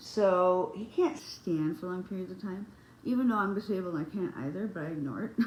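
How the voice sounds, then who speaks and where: A woman at medium pitch, somewhat breathy, with lively intonation and a fairly quick pace. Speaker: beauty vlogger. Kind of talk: casual chat. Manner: halting.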